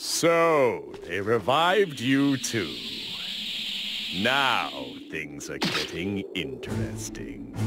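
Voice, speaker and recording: A put-on character voice at a very slow pace, broken by long, frequent pauses, with clear background noise. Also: man. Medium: video game. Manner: cold, superior, analytical.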